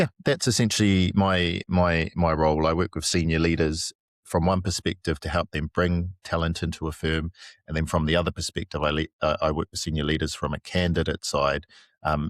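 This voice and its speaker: A man's very deep, low voice in a New Zealand accent, fairly quick and fairly even in intonation, dry and close with no echo on a very clean recording with a silent background. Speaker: headhunter for consulting firms. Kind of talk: podcast interview. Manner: halting, many fillers.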